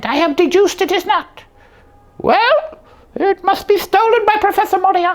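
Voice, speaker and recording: An extremely high, squeaky voice delivers a cartoonish character act. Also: moderate pace. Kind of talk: comic overacting. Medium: puppet show. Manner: pompous, mock-Victorian.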